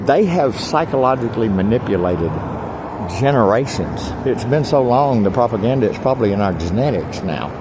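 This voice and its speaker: The speaker talks at a fairly quick pace with lively intonation. Noticeable background noise and audible room echo fill the recording. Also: man. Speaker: homeless video blogger. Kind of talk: casual vlog monologue. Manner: loud; animated.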